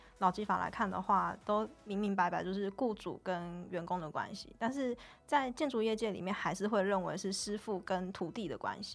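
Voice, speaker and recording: A woman speaks with hardly any pauses and ordinary pitch variation. Music plays in the background. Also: medium pitch for a woman, moderate pace. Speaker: union organizer. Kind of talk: casual interview.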